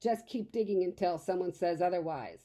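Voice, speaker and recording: Putting on a growling character voice, a woman speaks at medium pitch and a moderate pace with ordinary pitch variation. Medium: read story.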